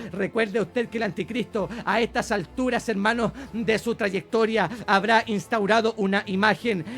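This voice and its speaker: This man has a high-pitched voice and keeps a moderate pace. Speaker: bible teacher. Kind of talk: sermon. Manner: animated.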